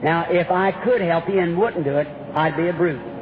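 With noticeable background noise behind him, a man talks at a moderate pace in a high pitch and fairly even intonation. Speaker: preacher at a healing campaign. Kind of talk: sermon. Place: hall. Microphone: old recording.

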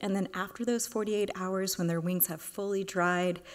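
A woman's voice at a fairly slow pace. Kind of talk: lecture. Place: hall. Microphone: podium.

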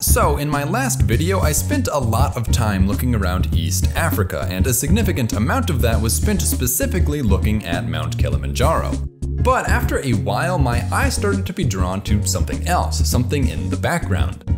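A man talks at a moderate pace while loud music fills the background. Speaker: educational video host. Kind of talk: scripted explainer narration. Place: home room.

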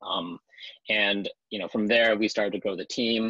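A man speaks at a moderate pace. The sound is dry with no echo, over a quiet background. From Los Angeles, US West Coast; California. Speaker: crypto startup executive. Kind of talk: interview. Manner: hesitant, many fillers. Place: booth. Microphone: earbuds.

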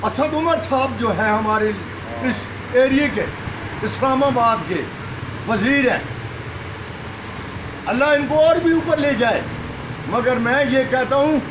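A man speaks at an extremely high pitch. Noticeable background noise can be heard. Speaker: former army officer. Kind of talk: street interview answer. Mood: angry, complaining about government. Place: street. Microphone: phone near.

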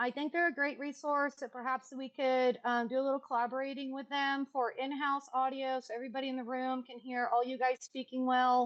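Loud and at a fairly quick pace with hardly any pauses, a woman speaks in a high pitch with monotone, flat intonation. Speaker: public commenter at city council meeting. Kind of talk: public comment. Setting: video call.

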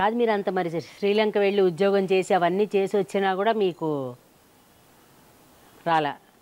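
A woman's medium-pitched, very evenly loud voice, a normal speaking voice. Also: fairly even intonation. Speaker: interviewer. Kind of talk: interview questions. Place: garden. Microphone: lapel.

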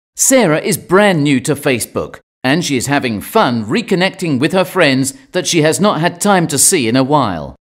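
A man speaks with a British accent and hardly any pauses. His pitch is fairly high. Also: lively intonation, moderate pace. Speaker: narrator. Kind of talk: scripted narration. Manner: calm.

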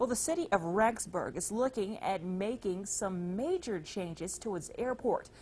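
Her voice is somewhat breathy, with lively intonation. The woman talks at a moderate pace. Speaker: news anchor. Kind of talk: newsreading, studio news anchor. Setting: studio. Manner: polished, steady, formal broadcast delivery. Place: studio. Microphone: lapel.

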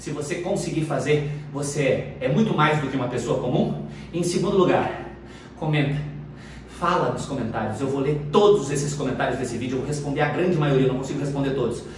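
Ordinary pitch variation at a fairly quick pace, with audible room echo and light background noise. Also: man. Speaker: fitness instructor. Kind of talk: workout coaching outro talk to viewers. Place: gym.

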